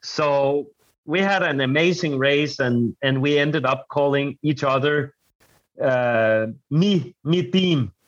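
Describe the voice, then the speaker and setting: With a Danish accent, a man speaks at a very slow pace and a fairly high pitch, with ordinary pitch variation and very even loudness. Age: 30s. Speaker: adventure racer. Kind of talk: casual interview chat. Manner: halting, searching for words.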